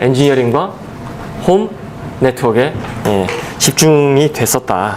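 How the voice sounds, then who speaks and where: A man talks with a lively, bouncing intonation. Noticeable background noise runs under his voice. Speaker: exam prep lecturer. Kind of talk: lecture. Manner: fast.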